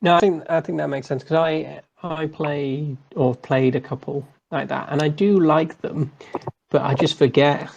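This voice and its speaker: Moderate pace with a British accent. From southern England. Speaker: gaming show host. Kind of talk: casual chat.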